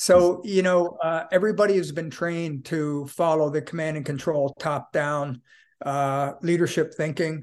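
Against a quiet background, a man with a normal speaking voice talks at a moderate pace and fairly high pitch, his intonation fairly even. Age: 60s. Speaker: author and leadership consultant. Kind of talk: podcast interview.

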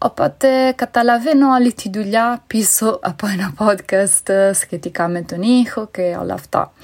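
Pitched fairly high, a woman speaks at a fairly slow pace with hardly any pauses and ordinary pitch variation. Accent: Italian. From Italy. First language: Italian (speaking Greek). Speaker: conference interpreter, listener. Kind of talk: recorded voice message.

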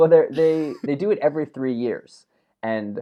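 With an unremarkable speaking voice, the speaker moves at a fairly quick pace with lively intonation. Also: man. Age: 30s. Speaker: podcast co-host. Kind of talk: casual chat. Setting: remote call.

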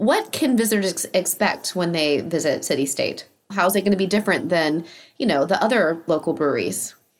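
A woman with a plain, everyday voice talks at a fairly quick pace and medium pitch. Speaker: podcast host and interviewer. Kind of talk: casual chat. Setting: video call interview via remote recording.

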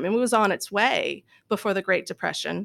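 A woman's fairly high voice with an American accent at a moderate pace, dry and close with no echo, on a very clean recording with a silent background. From US South, Louisville, Kentucky. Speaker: seminary professor. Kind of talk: interview. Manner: halting.

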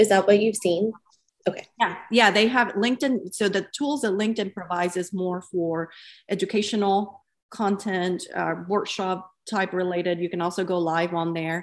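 A woman with an ordinary speaking voice of medium pitch talks at a moderate pace with fairly even intonation over a quiet background. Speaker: podcast host and founder. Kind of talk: interview and moderated discussion.

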